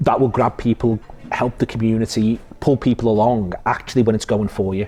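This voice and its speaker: Music plays in the background as a man talks with a Liverpool accent. His pitch is medium and his pace fairly quick. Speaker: podcast host and football pundit. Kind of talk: casual interview chat. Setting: cafe. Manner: fast; animated.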